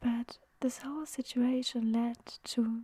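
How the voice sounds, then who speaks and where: Soft-spoken whispering moves along at a very slow pace. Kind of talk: story narration.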